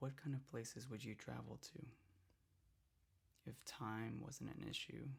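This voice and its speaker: Soft-spoken and whispering, a man talks at a fairly slow pace with long, frequent pauses. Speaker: ASMR artist. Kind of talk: ASMR roleplay reiki session. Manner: soft-spoken, whispering, calming.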